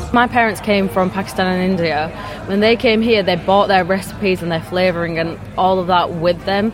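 Over noticeable background noise, a woman at a medium pitch talks at a fairly quick pace with fairly even intonation. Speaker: youth food ambassador. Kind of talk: casual interview.

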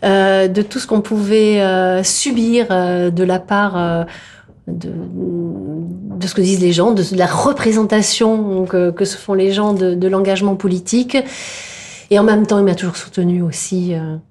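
A woman's medium-pitched voice moves very slowly, her intonation fairly even. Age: 50s. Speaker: politician and doctor. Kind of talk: interview. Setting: meeting room. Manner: halting, many hesitations.

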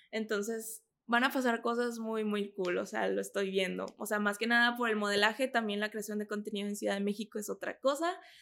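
This woman has an ordinary speaking voice, fairly high in pitch and fairly even in intonation. She talks at a fairly quick pace with hardly any pauses, on a very clean recording with a silent background. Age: 20s. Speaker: model and content creator. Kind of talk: interview.

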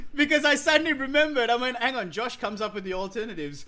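Raising and projecting his voice, a man speaks at a very fast pace with very wide pitch swings. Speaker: comedian. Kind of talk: casual comedy panel chat.

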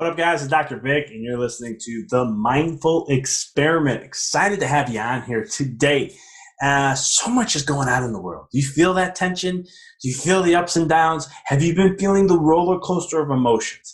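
Using hardly any pauses, a man speaks at a fairly high pitch with lively intonation. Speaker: podcast host. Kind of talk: solo monologue on mindfulness. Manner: fast; animated.

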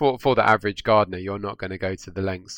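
A man with a southern English accent talks at a very fast pace. His pitch is very deep and low, and the recording is very clean with a silent background. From southwest London, England. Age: young. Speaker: garden designer. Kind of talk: interview. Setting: studio.

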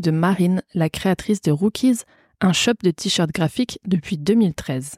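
A woman speaks at a fairly slow pace in a medium pitch, somewhat breathy, with a dark, mellow tone. Her pitch varies in an ordinary way, and the recording is very clean with a silent background. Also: dry, close sound with no echo. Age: 20s. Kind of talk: casual interview chat; scripted intro.

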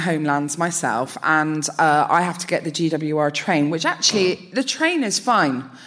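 A woman at a moderate pace, lively intonation, noticeable background noise behind her. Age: 30s. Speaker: comedian. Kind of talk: live comedy podcast banter. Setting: stage with audience.

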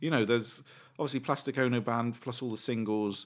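Recorded very cleanly with a silent background, a man speaks with a British accent and fairly even intonation. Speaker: podcast co-host. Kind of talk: casual chat. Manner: rambling, hesitant.

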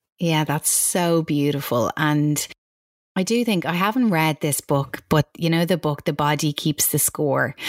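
A woman speaks fairly slowly with an Irish accent, her pitch very deep and low. Her loudness stays very even, and her pitch varies in an ordinary way. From Ireland. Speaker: author and coach. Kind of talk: interview chat.

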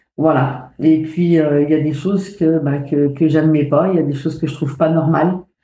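A woman speaks in a very deep, low pitch. Her tone is dark and mellow, and her intonation is monotone and flat. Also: moderate pace. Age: 50s. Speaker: mother of a cancer patient. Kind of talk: testimony. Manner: halting.

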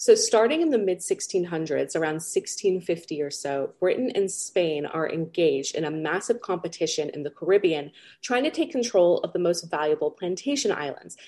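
A woman with a Californian accent talks at a moderate pace with hardly any pauses. Her tone is dark and mellow, her pitch fairly low, and her intonation lively. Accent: Californian American. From US West Coast, Los Angeles. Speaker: pirate historian. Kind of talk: interview answers.

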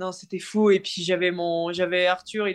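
Her pace is moderate, and this woman speaks at a medium pitch. The intonation stays monotone and flat. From northern France (Nord). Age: 20s. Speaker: professional cyclist. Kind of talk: interview. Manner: halting, many repetitions.

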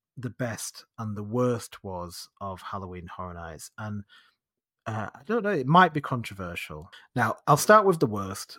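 A man with a northern English accent talks in very wide pitch swings, the sound dry and close with no echo. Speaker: podcast host. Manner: chatty, casual storyteller.

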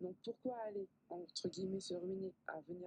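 Her pitch sits fairly low for a woman, and it varies in an ordinary way. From southern France. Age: 20s. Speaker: pharmacist and skincare expert. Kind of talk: radio interview. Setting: radio studio.

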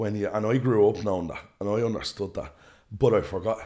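A man's fairly low, dark and mellow voice with an Irish accent, at a very fast pace, on a very clean recording with a silent background. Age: 20s. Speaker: flight school founder. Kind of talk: interview conversation. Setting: studio.

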